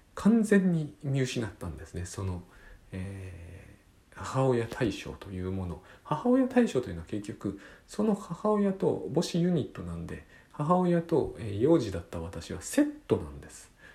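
The voice has a dark, mellow tone and is somewhat breathy, with very wide pitch swings. Loudness rises and falls sharply at a fairly slow pace. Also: man, medium pitch for a man. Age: 40s. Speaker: podcast host and author. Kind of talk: solo monologue podcast. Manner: halting, many fillers.

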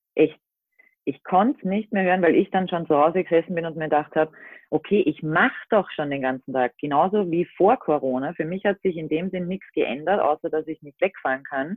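At a fairly quick pace, a woman with a normal speaking voice talks at a fairly low pitch, her ordinary pitch variation paired with big swings in loudness. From Austria. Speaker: van-life social media creator. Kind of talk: casual chat. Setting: remote call from home.

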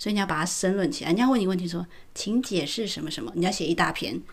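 A woman talks fairly quickly with lively intonation, her voice somewhat breathy. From Taiwan. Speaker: podcast co-host. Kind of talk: casual chat.

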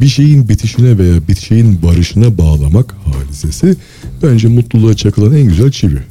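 Over noticeable background noise, a man with a fairly low pitch talks at a moderate pace with very even loudness and very wide pitch swings. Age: 40s. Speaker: engineer and author. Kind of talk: casual interview. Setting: live broadcast.

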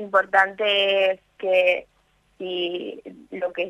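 The woman speaks at a medium pitch. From Victoria, Entre Ríos, Argentina. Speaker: medical student and environmental activist. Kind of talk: radio interview. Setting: phone call.

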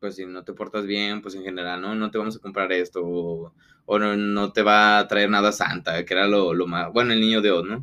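With a Mexican accent, a man speaks at a moderate pace in a flat, monotone delivery. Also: fairly low pitch for a man. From rural Mexico. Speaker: podcast co-host. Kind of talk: casual chat.

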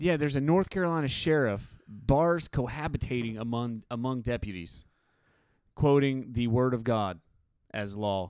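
His intonation is lively. The man speaks at a medium pitch. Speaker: podcast host. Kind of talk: casual chat.

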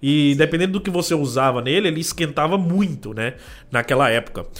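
At a very fast pace, a man speaks with lively intonation and fairly high pitch. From Brazil, northern Minas Gerais, rural. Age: 30s. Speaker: tech youtuber. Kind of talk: casual chat.

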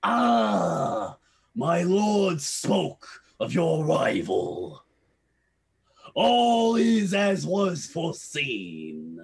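In a raspy, put-on character voice, the speaker goes at a very slow pace with long, frequent pauses. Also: man, high pitch for a man. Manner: malicious, menacing.

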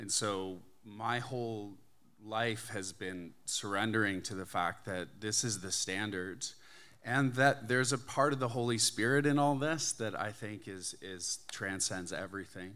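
A man with a Canadian accent speaks at a fairly low pitch with a bright, sharp tone and ordinary pitch variation. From Canada. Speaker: church member giving testimony. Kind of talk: testimony.

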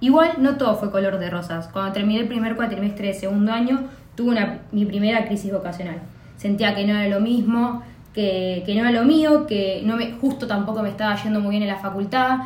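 Through audible room echo, a woman with a fairly high pitch speaks at a moderate pace with ordinary pitch variation. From Argentina, Buenos Aires province (Pilar). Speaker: podcast co-host. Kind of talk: casual chat.

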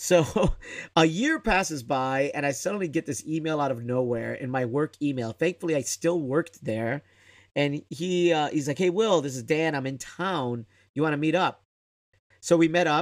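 In a very clean recording with a silent background, a man with an American accent and a normal speaking voice talks at a moderate pace and a fairly high pitch, with ordinary pitch variation. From Chicago, south side. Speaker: improv director and teacher. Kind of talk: casual interview.

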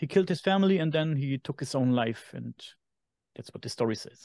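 Speaking at a moderate pace with a German accent, a man with a fairly high pitch uses ordinary pitch variation, recorded dry and close with no echo against a quiet background. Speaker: podcast host. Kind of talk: casual chat.

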